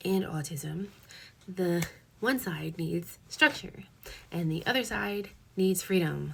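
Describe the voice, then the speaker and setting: The speaker is a woman talking at a fairly slow pace. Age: 20s. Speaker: lifestyle vlogger. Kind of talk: casual tutorial vlog.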